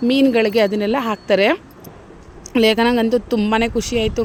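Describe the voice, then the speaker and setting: Fairly high-pitched woman's voice in a monotone, flat intonation, with noticeable background noise. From Mysore, Karnataka, India. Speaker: YouTube vlogger. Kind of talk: travel vlog narration.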